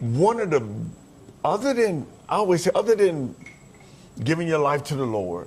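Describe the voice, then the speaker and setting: With long, frequent pauses, a man speaks at a fairly high pitch that swings very widely. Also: moderate pace. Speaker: motivational speaker. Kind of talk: interview. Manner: loud; animated.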